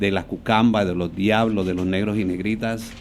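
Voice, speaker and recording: A fairly low-pitched man in a Colombian Caribbean accent, fairly quick in pace, with fairly even intonation. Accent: Colombian Caribbean (costeño) Spanish. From Colombian Caribbean coast, Barranquilla (born Venezuela, moved at 10). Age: 60s. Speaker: dancer, choreographer and dance teacher. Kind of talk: podcast interview.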